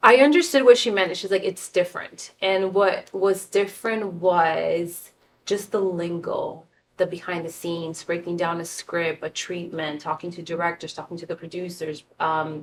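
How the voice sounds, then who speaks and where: A woman with a Spanish accent speaks at a moderate pace in a fairly low pitch, her intonation fairly even while her loudness swings widely. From San Diego, US-Mexico border (born Tijuana). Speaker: fashion and film stylist. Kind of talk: casual interview.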